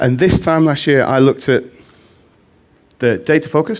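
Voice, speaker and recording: Lively in intonation and fairly quick in pace, a man with a Mancunian accent speaks at a fairly high pitch with vocal fry. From Manchester, northern England. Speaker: conference speaker, data visualization specialist. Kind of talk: conference talk.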